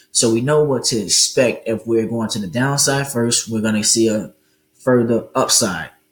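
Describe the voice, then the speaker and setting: With a medium pitch and ordinary pitch variation, the man has a plain, everyday voice. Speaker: forex trading educator. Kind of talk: tutorial. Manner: casual, many fillers.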